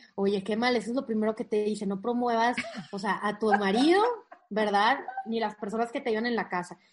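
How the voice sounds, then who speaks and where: Fairly quick speech from a woman at a fairly high pitch, fairly even in intonation, over noticeable background noise. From Monterrey, northern Mexico. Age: young. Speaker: motivational coach and content creator. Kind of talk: interview conversation.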